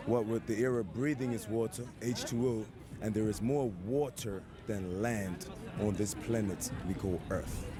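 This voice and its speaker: Music plays behind a man with audible room echo around him. He speaks fairly slowly at a medium pitch, with ordinary pitch variation and very even loudness. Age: 40s. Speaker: street interviewee, retired military. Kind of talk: street interview.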